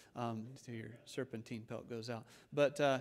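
The intonation stays fairly even. A man is the one talking. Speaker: preacher. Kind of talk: sermon. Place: church. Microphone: podium.

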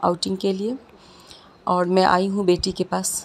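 Light background noise sits under a woman talking at a fairly slow pace. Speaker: mother vlogger. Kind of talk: casual vlog chat. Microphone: phone near.

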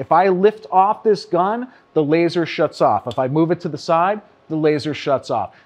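This man talks at a moderate pace with a fairly high pitch.

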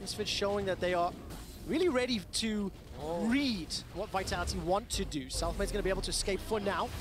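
Noticeable background noise behind a fairly quick pace of speech. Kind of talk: live esports commentary. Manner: fast-paced, excitable play-by-play; rising energy on big fights.

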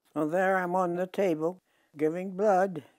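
With a Midwestern accent, a woman speaks at a moderate pace in a dark, mellow tone. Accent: American Midwestern. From Iowa, USA. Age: 80s+. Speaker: retired nurse. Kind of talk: interview answer. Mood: warm, reminiscing. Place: home room. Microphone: lapel.

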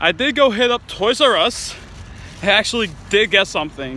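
A man talks at a fairly slow pace in a raised, projected voice with very wide pitch swings. The sound is dry with no echo, over light background noise. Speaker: toy collector vlogger. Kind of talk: casual vlog chat. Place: street. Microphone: phone near.

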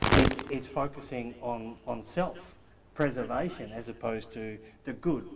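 Noticeable background noise sits behind a man speaking at medium pitch with ordinary pitch variation. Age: 50s. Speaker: study group member. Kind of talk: group discussion. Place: meeting room. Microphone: camera far.

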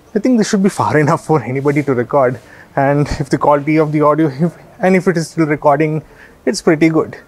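Very fast and at very even loudness, a man talks with ordinary pitch variation. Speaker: product reviewer. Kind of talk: tutorial review. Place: street. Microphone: lapel.

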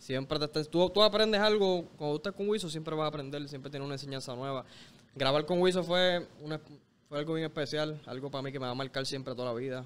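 Here a man talks at a very fast pace. His pitch is fairly high and varies in an ordinary way. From Puerto Rico, Bayamón area. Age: 20s. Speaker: reggaeton artist. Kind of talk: casual interview chat. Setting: studio. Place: street. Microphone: studio mic.

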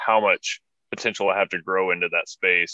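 Over a quiet background, a man speaks with a bright, sharp tone at a fairly low pitch. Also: dry sound with no echo. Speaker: podcast host. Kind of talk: interview conversation. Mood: reflective, earnest. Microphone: video call.

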